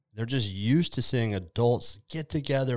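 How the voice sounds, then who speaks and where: An ordinary speaking voice from a man at medium pitch and moderate pace, on a very clean recording with a silent background. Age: 30s. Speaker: gym coach and podcast host. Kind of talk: casual interview.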